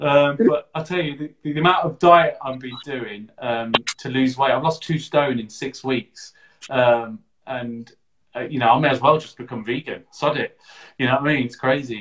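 A man talks at a moderate pace in a normal speaking voice with a medium pitch. His loudness swings widely. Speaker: podcast host and digital marketer. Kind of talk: casual interview. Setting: live video stream.

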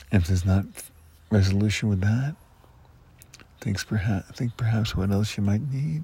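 A man speaks at a moderate pace with a fairly low pitch, ordinary pitch variation and long, frequent pauses. His tone is dark, mellow and gentle, and somewhat breathy. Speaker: hypnotherapist. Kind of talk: guided hypnosis session, calm trance-induction script with long pauses. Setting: recorded audio session for listeners. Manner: gentle and reassuring, repeating key words like resolution.

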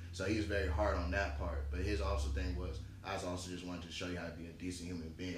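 Very fast speech from a man, with noticeable background noise behind it. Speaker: podcast guest, works in tech project management. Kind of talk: casual chat.

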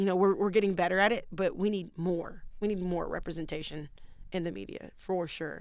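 Here is an ordinary speaking voice from a woman with an American accent. She talks at a fairly quick pace with fairly even intonation. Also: medium pitch for a woman. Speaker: college basketball player. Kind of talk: casual interview chat.

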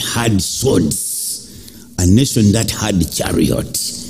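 Music plays in the background as a man speaks. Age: 60s. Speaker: preacher. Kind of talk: sermon with congregation call-and-response. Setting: church. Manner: animated; emphatic, rhythmic, urging.

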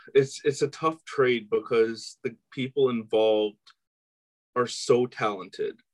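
Here a man talks at a fairly slow pace. The sound is dry and close, without any echo. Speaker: sports podcast co-host. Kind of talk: casual chat.

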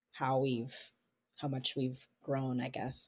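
An animated voice speaks in an American accent. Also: woman. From Baltimore, Maryland. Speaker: dancer and choreographer. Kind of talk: interview. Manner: animated, frequent laughs.

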